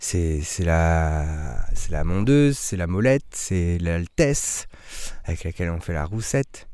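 Very deep and low in pitch, a man speaks at a very slow pace with lively intonation and a dark, mellow tone. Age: 30s. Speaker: winemaker. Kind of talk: casual interview. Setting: outdoors in vineyard.

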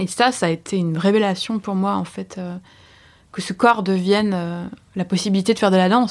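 A woman with a medium-pitched voice is captured on a very clean recording over a silent background. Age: 30s. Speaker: artist and slam poet. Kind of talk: testimony. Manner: fast; halting.

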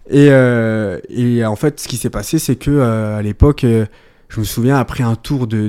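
The intonation is fairly even throughout. The voice belongs to a man. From France, Ardèche. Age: 20s. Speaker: amateur footballer. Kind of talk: interview. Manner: hesitant, many fillers.

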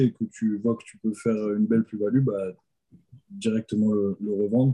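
A man's voice has a dark, mellow tone and fairly even intonation. The sound is dry and close, with no echo. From Alsace, France. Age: 20s. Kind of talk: interview testimony.

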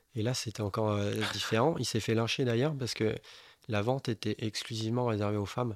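In a very clean recording with a silent background and a dry, close sound with no echo, a man with a plain, everyday voice talks at a fairly quick pace, his medium pitch held in fairly even intonation. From Bordeaux, France. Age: 30s. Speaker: building contractor, watch collector. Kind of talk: casual interview chat.

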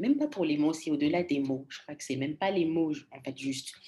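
Her tone dark and mellow, a woman speaks with very wide pitch swings. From Congo. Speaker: storytelling coach. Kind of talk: interview.

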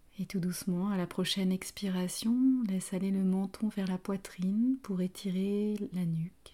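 A woman speaks at a fairly slow pace with hardly any pauses, in a medium pitch and fairly even intonation. Her tone is dark, mellow and somewhat breathy. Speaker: yoga teacher. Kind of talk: guided yoga class. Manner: soft-spoken.

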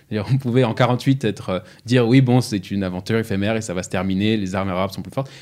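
At a very fast pace, a man talks with fairly even intonation and big swings in loudness, in a very clean recording with a silent background. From France, Strasbourg (Alsace). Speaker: podcast host. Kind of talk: podcast discussion. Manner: hesitant, frequent word repetitions.

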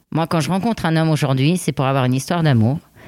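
A woman with lively intonation, on a very clean recording with a silent background. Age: 40s. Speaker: podcast guest. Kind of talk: casual chat. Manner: halting.

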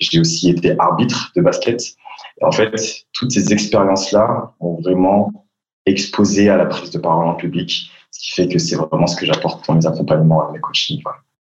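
This is a man with an ordinary speaking voice and a fairly low pitch. He talks at a moderate pace with lively intonation. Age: 20s. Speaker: public speaking coach. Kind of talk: interview.

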